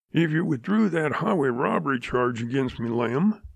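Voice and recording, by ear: A natural voice reads the text aloud. Its intonation rises and falls in a lively way.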